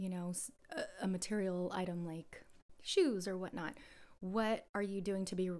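This woman has an American accent and a medium pitch. Her intonation stays fairly even. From US West Coast, San Jose, California. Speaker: actress. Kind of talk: casual chat.

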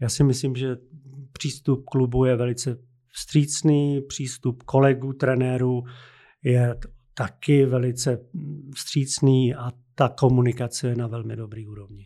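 A man's medium-pitched, dark and mellow voice, monotone and flat, at a fairly slow pace with long, frequent pauses, on a very clean recording with a silent background. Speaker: basketball coach. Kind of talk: interview.

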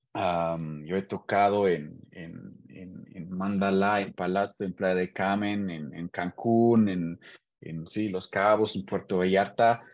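Very slowly and with a German accent, a man speaks in a very deep, low pitch against a quiet background. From Germany, Hannover. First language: German (speaking Spanish). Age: 30s. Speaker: engineer and DJ. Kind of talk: casual interview. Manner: halting, repeats words.

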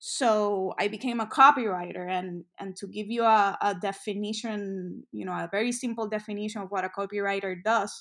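Heard in a very clean recording with a silent background, a woman with a Spanish accent speaks at a medium pitch and moderate pace with fairly even intonation. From Puerto Rico, San Juan. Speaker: music industry professional. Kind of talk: interview. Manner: frequent fillers and false starts.

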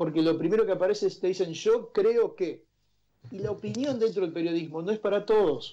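A man with a high, dark and mellow voice talks at a fairly quick pace with ordinary pitch variation against a quiet background. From Argentina, Santa Fe province near Rosario. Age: 50s. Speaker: journalist. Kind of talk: interview conversation. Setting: remote call from home.

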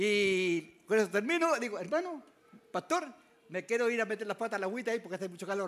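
Raising and projecting his voice, a high-pitched man talks at a fairly quick pace with a bright, sharp tone and very wide pitch swings. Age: 70s. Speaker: elderly preacher. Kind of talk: testimony. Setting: church.

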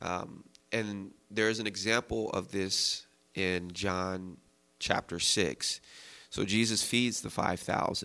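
With an American accent, a man speaks very slowly in a bright, sharp tone and fairly even intonation. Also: fairly low pitch for a man. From United States. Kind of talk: casual Bible discussion.

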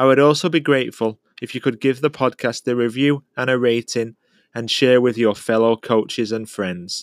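An unremarkable speaking voice from a man at medium pitch and moderate pace, with fairly even intonation and a dry, close sound with no echo, on a very clean recording with a silent background. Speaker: podcast host, youth soccer coach. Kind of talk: interview, casual chat.

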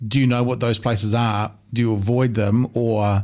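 This man talks with a New Zealand accent and a fairly even intonation. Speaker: podcast host. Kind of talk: casual interview. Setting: studio. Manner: jokey.

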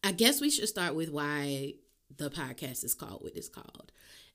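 In a very clean recording with a silent background, a woman with a New Orleans accent uses a bright, sharp tone and very wide pitch swings. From US South, New Orleans. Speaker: podcast host. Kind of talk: casual solo monologue.

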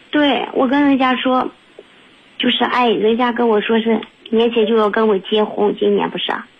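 Noticeable background noise runs behind a woman speaking. Her pace is moderate and her loudness very even. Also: ordinary pitch variation. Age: 30s. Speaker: caller. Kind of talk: testimony. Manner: halting.

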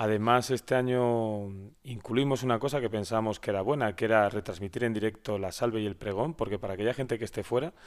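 Using a normal speaking voice, a man speaks fairly quickly at medium pitch with fairly even intonation. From Spain, Valladolid (Castilla y León). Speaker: local politician, deputy mayor. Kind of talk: interview.

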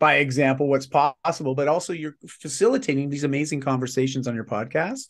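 Against a quiet background, a man with a Canadian accent talks at a fairly quick pace. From Canada. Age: 40s. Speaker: lifestyle mentor and performance coach. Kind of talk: casual interview.

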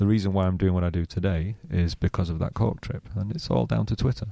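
A man with a northern English accent talks fairly quickly in a very deep, low pitch with a dark, mellow tone and ordinary pitch variation, recorded very cleanly against a silent background with a dry, close sound and no echo. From northwest England, near Manchester. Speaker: social media marketer. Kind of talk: interview.

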